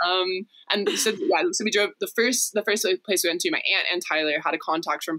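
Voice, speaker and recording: Using an unremarkable speaking voice, the woman talks at a moderate speed. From Texas. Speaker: refugee center volunteer. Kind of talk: casual chat.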